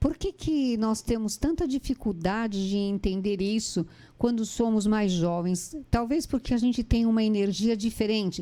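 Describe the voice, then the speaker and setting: Her tone is dark and mellow, with a fairly high pitch and ordinary pitch variation. The woman keeps a very even loudness and a fairly slow pace. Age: 60s. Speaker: interviewer. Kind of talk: interview conversation. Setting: online live stream.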